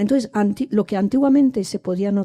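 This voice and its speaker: Her dark, mellow tone comes through dry and close with no echo, on a very clean recording with a silent background, from a woman speaker. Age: 60s. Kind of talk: public discussion comment. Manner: halting, many restarts.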